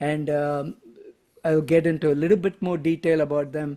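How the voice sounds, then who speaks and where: In a Tamil accent, a man with a fairly high pitch speaks at a moderate pace. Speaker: stamp collector, postal historian. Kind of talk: presentation to a club. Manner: halting, many fillers.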